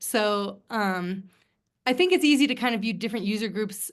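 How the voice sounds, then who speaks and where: A woman with an American accent speaks at a fairly quick pace in a medium pitch, an unremarkable speaking voice against a quiet background. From US Midwest. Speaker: author. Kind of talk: book club Q&A conversation.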